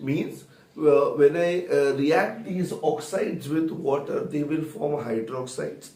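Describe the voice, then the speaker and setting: A man with a fairly high voice talks at a fairly slow pace, with noticeable background noise and audible room echo. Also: ordinary pitch variation. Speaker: chemistry teacher. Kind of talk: lecture. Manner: soft-spoken.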